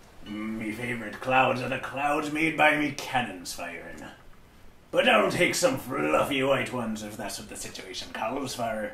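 Faint music sits in the background. A man uses a put-on character voice at a medium pitch. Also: moderate pace. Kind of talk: comedic painting commentary in character. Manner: boisterous, playful.

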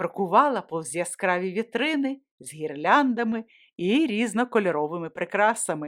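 Lively intonation runs through a natural reading voice set against a quiet background.

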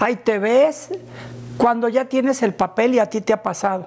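Against noticeable background noise, a woman speaks fairly slowly in a high pitch with ordinary pitch variation. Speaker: interviewer, channel host. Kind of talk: casual interview chat. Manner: enthusiastic, warm.

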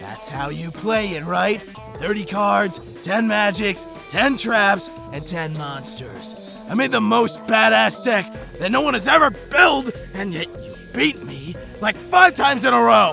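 A man does a cartoonish character voice, high-pitched with a bright, sharp tone and vocal fry. He speaks at a fairly slow pace with lively intonation as faint music plays in the background. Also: few pauses.

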